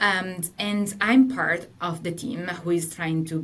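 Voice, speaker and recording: A woman speaks in a fairly low voice with an Italian accent. There is audible room echo and noticeable background noise. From Italy. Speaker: partner manager at tech company. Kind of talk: webinar presentation.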